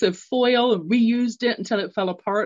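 The speaker is a woman with an English accent. She talks at a moderate pace. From London, England. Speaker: radio show host and executive coach. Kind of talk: solo radio talk. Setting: live radio stream.

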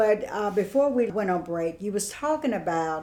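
A woman with a plain, everyday voice, medium pitch and a fairly slow pace. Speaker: radio host. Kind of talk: radio show conversation.

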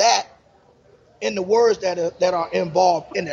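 A man at a fairly quick pace, amid noticeable background noise. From South Florida. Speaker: sports radio host. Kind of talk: casual sports talk show. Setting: live on location at a pizza bar.

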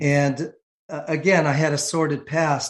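A man speaks at a fairly slow pace in a fairly high pitch. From San Francisco, California. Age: 60s. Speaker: insurance agency owner. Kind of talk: testimony. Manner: halting.

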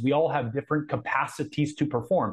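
A man with an American accent talks at a fairly quick pace. His fairly high voice carries vocal fry. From Southern California (Anaheim). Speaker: coach and combat veteran. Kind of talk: interview.

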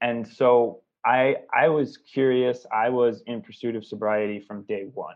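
A man speaks with an American accent in an ordinary speaking voice at a medium pitch. His pace is fairly slow and his intonation fairly even. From US Pacific Northwest, Seattle. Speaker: recovery entrepreneur, recovering addict. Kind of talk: interview.

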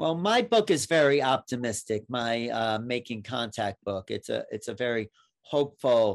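Ordinary pitch variation marks an unremarkable speaking voice that keeps a moderate pace. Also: man. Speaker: podcast host. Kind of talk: interview conversation.

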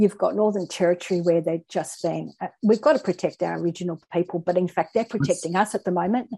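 A woman's fairly low, dark, mellow voice with vocal fry and an Australian accent, very fast with hardly any pauses, in a dry, close sound with no echo. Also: ordinary pitch variation, quiet background. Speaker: guest speaker. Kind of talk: casual chat.

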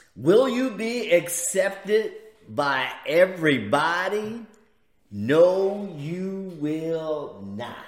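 In an American accent, a man talks very slowly at a high pitch, with lively intonation, big swings in loudness and audible room echo. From US inner city. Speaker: preacher and podcast host. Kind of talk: inspirational religious talk show.

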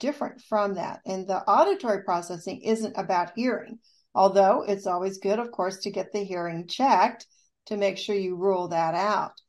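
A woman's normal speaking voice with an American accent, moderate pace and ordinary pitch variation, in a very clean recording with a silent background. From US Midwest, rural southeast Kansas. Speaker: rehabilitation counselor and author. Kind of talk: radio interview.

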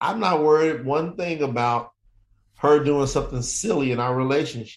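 Here a man talks with a Southern US accent in an animated tone. His pitch is fairly high, with ordinary variation. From Kentucky, US South. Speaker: entrepreneur and author. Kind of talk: interview.

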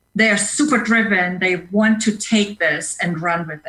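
Woman with a non-native accent, medium pitch, a bright, sharp tone, ordinary pitch variation and a fairly slow pace. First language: not English, speaks five languages. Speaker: leadership coach and speaker. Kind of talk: interview. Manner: hesitant fillers (uh).

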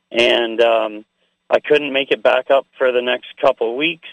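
A normal speaking voice at a moderate pace, with a Canadian accent. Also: man. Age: 40s. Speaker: activist. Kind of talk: interview.

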